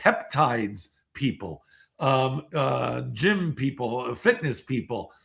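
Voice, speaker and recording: Speaking at a very slow pace with vocal fry and lively intonation, this voice comes through on a very clean recording with a silent background. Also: man. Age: 60s. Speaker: seminar speaker. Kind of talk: interview. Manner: halting.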